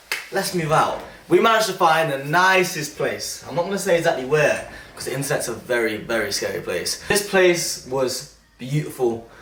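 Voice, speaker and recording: The voice is loud, with lively intonation at a moderate pace. Audible room echo and noticeable background noise fill the clip. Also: man, high pitch for a man. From England, Leicester. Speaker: YouTuber. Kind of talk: casual vlog talk. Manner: enthusiastic, animated.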